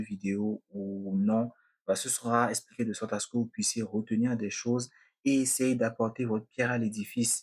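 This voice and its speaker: A man's plain, everyday voice, medium in pitch, at a fairly slow pace. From Benin. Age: 20s. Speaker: podcaster. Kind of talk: podcast monologue.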